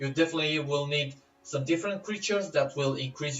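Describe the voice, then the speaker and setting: A man speaks with a non-native accent. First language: not English. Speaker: gaming YouTuber. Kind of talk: game tutorial. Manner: casual, hesitant with fillers.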